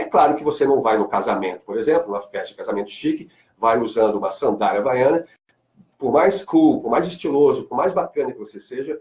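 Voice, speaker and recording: The speaker talks at a fairly quick pace with a slight Carioca accent. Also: man. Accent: slight Carioca (Rio de Janeiro). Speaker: marketing speaker and lecturer. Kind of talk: radio interview. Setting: radio studio.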